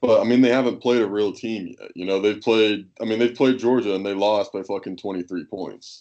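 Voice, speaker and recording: A man with a normal speaking voice at a fairly low pitch talks at a fairly quick pace with hardly any pauses and fairly even intonation, against a quiet background. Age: 20s. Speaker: sports podcast co-host. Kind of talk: casual chat.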